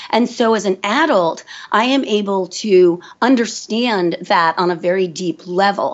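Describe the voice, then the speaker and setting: An unremarkable speaking voice with lively intonation moves at a fairly slow pace. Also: woman. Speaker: forest kindergarten founder and educator. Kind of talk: interview.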